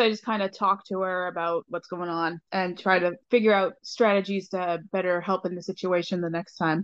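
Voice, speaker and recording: A plain, everyday voice speaks at a moderate pace with hardly any pauses and fairly even intonation, the sound dry and close with no echo. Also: woman. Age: 30s. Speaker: interview guest. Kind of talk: interview.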